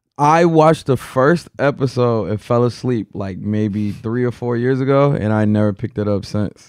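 Against a quiet background, a man with a plain, everyday voice at medium pitch speaks at a fairly quick pace with hardly any pauses and ordinary pitch variation. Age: 20s. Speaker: podcast co-host. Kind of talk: casual chat.

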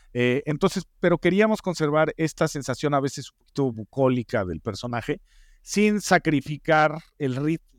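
With a Mexican accent, a man talks in a fairly high pitch with lively intonation, on a very clean recording with a silent background and a dry, close sound with no echo. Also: moderate pace. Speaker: TV producer and head writer. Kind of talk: interview. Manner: halting with frequent fillers.

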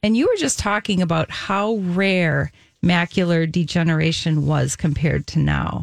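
A woman with a plain, everyday voice speaks at a fairly slow pace with ordinary pitch variation, the sound dry and close with no echo. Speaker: nutritionist radio co-host. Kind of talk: radio talk show.

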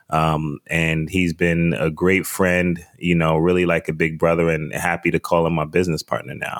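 This speaker has a New York accent and a moderate pace with hardly any pauses. The intonation is monotone and flat. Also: man, very deep, low pitch for a man. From US, the Bronx, New York. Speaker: wine importer and podcast host. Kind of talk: interview.

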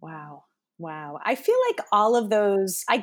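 The recording is very clean, with a silent background. A woman speaks at a medium pitch in an ordinary speaking voice. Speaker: podcast interviewer. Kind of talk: casual interview chat.

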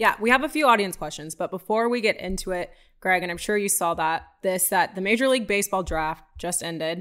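An unremarkable speaking voice from a woman at medium pitch, fairly quick with hardly any pauses and ordinary pitch variation, on a very clean recording with a silent background. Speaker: podcast co-host reading listener questions. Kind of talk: casual chat.

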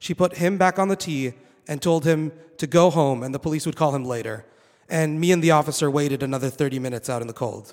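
A man talks very fast in a fairly high voice with ordinary pitch variation. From Saudi Arabia. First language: Arabic. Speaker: PhD researcher. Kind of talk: live storytelling. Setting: stage with audience.

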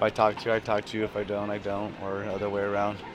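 The speaker has an American accent, and noticeable background noise is present. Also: man. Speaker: radio station worker. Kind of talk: casual chat. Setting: casino cafe.

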